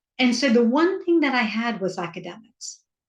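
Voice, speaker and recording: At a fairly slow pace, a woman talks in a somewhat breathy voice. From US South, rural Georgia. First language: Hindi. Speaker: author and parent coach. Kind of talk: interview.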